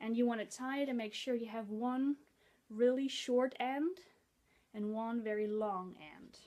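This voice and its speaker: With a Dutch accent, a woman speaks fairly slowly at a fairly high pitch, her dark, mellow tone showing ordinary pitch variation and big swings in loudness. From Netherlands. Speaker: head-wrap tutorial vlogger. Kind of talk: tutorial.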